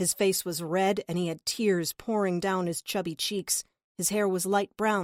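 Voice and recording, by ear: Reading aloud in a natural voice, the speaker keeps a fairly even intonation over a quiet background.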